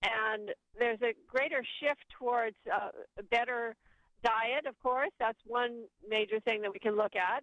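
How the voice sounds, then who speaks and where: A woman with an ordinary speaking voice talks at a fairly slow pace. Her pitch is fairly high and her intonation fairly even. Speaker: author and educator. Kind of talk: interview and guided meditation.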